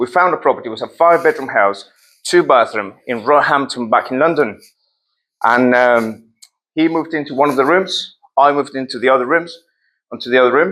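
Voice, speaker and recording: A man with a Spanish accent, fairly high pitch and bright, sharp tone, at a fairly quick pace with ordinary pitch variation, on a very clean recording with a silent background. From Colombia. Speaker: property investor and speaker. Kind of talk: presentation to an audience.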